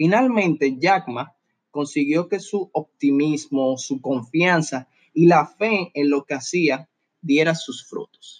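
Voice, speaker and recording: A man's fairly high voice at a very slow pace, with ordinary pitch variation, dry and close with no echo, over a quiet background. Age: 20s. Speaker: motivational podcaster. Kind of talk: motivational monologue.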